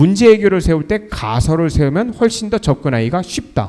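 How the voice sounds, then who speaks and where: A man speaks in a high pitch at a moderate pace. His voice moves in very wide pitch swings. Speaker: university lecturer. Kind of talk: recorded online lecture.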